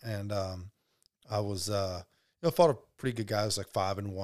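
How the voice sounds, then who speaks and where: This man has a normal speaking voice with an American accent and fairly even intonation. The recording is very clean, with a silent background. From US South, Alabama (Birmingham area). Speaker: professional MMA fighter. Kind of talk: casual interview.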